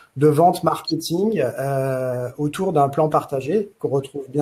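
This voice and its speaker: A man with a fairly high pitch speaks slowly-ish, his somewhat breathy voice carrying a dark, mellow tone at a fairly slow pace. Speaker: consultant presenting in a webinar. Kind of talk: webinar presentation. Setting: online webinar. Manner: hesitant, many filler sounds.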